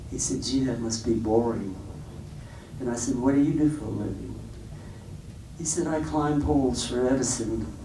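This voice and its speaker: A man at a medium pitch speaks at a moderate pace with ordinary pitch variation and long, frequent pauses, his voice carrying audible room echo. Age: 80s+. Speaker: jazz guitarist giving a clinic. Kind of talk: talk to students at a clinic. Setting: classroom with audience. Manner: casual, halting with fillers. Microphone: low quality recording.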